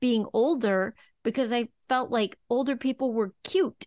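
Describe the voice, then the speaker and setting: In a normal speaking voice, a woman talks at a fairly slow pace with ordinary pitch variation, recorded dry and close with no echo over a quiet background. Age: 50s. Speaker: podcast host. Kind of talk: casual interview chat.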